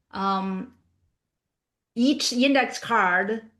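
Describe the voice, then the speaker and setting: A non-native accent in a bright, sharp tone. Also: woman, quiet background. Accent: non-native, still learning pronunciation. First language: not English. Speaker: professional speaker. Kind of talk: professional talk / webinar discussion.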